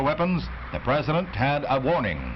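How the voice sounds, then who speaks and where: A man's dramatic voice over noticeable background noise. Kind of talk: newsreel narration. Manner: dramatic, fast-paced.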